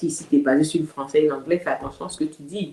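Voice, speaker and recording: Speaking very fast, a woman with an Ivorian accent has a dark, mellow tone. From Côte d'Ivoire. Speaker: community activist. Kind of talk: interview.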